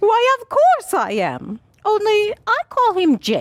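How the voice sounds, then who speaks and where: In a put-on character voice, a woman speaks squeaky and extremely high-pitched at a fairly slow pace, with lively intonation and a dry, close sound with no echo. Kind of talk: 1940s radio acting. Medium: audio drama. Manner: gushing, airy, affected.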